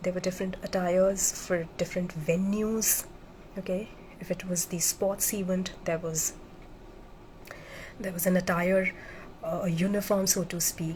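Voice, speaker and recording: A woman speaks at a medium pitch and a moderate pace. Her intonation stays monotone and flat, with long, frequent pauses. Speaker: military officer turned motivational speaker. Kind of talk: live-streamed motivational talk. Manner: halting, with many fillers.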